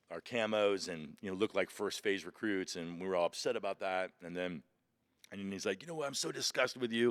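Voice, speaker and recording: Animated, fairly quick speech with ordinary pitch variation, in a dry, close sound with no echo and a very clean recording with a silent background. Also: man, fairly low pitch for a man. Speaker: pastor and former Marine. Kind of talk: interview. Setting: outdoors. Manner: loud.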